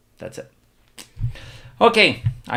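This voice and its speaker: Speaking at a very slow pace with a slight non-native accent, this voice comes through on a very clean recording with a silent background. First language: not English. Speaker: stock market streamer. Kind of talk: live stream commentary. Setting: live stream. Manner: hesitant, many fillers.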